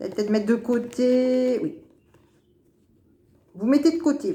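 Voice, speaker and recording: A woman with a high pitch and a dark, mellow tone talks at a moderate pace, her intonation lively and her loudness swinging widely. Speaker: tarot card reader. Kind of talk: weekly horoscope card reading. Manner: hesitant, repetitive.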